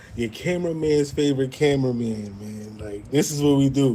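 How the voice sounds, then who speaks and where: A man talks with a strong Brooklyn accent at medium pitch. His tone is dark and mellow, with ordinary pitch variation. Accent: strong Brooklyn New York. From Brooklyn, New York. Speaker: media editor and show admin. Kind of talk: casual chat.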